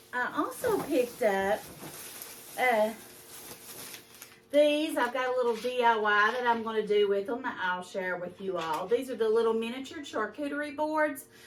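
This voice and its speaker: Speaking in a Kentucky accent with fairly high pitch and lively intonation, a woman leaves long, frequent pauses amid audible room echo and noticeable background noise. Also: moderate pace. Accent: country Kentucky speech. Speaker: lifestyle vlogger. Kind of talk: casual haul video.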